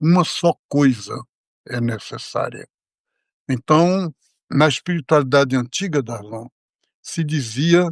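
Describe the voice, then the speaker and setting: A fairly high-pitched man, very slow with long, frequent pauses and ordinary pitch variation, in a dry, close sound with no echo. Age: 80s+. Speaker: monk. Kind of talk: religious discussion.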